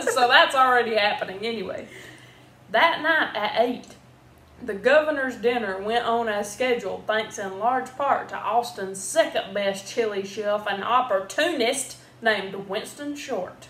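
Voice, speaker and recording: Someone talks with an American accent over noticeable background noise, with audible room echo. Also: woman, fairly high pitch for a woman, ordinary pitch variation, fairly slow pace. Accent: Southern US, thicker when drinking. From US South. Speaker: video host. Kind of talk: reading aloud.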